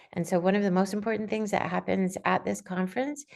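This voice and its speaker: The pitch rises and falls with ordinary variation. It is a normal speaking voice. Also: woman. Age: 60s. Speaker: aspiring writer, conference speaker. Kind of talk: informational talk on video call. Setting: video call.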